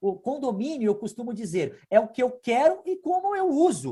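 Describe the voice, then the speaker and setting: A man with a high-pitched voice swings very widely in pitch, recorded very cleanly against a silent background. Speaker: lawyer. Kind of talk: interview.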